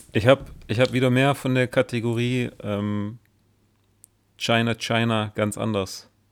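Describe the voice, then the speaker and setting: At a fairly slow pace with long, frequent pauses, a man speaks at a medium pitch in monotone, flat intonation, recorded dry and close with no echo, very clean with a silent background. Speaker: podcast co-host. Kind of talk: casual chat.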